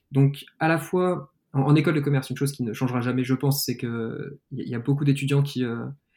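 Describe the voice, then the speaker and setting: Speaking at a fairly quick pace, a man uses a medium-pitched voice with a dark, mellow tone and fairly even intonation. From France, Lyon. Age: 20s. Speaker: startup founder. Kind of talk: interview.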